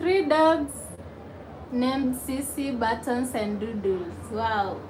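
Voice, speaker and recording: A woman speaks very slowly in a high voice with lively intonation. Noticeable background noise and audible room echo fill the recording. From Kenya, Nairobi. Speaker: YouTuber. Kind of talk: live stream chat reading comments. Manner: casual, chatty.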